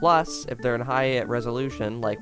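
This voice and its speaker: With clear music behind him, a man keeps up a fairly quick pace. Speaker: youtuber. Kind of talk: casual explainer vlog. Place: home room. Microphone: studio mic.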